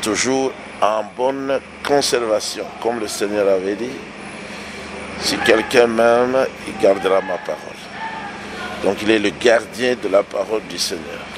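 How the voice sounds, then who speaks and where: Speaking at a very slow pace with long, frequent pauses, a man uses ordinary pitch variation over noticeable background noise. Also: medium pitch for a man. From DR Congo. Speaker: pastor. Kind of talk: interview. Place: home room. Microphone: handheld.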